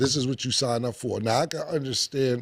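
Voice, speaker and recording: A man delivers a plain, everyday voice at a fairly quick pace with fairly even intonation. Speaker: talk show host. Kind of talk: casual chat.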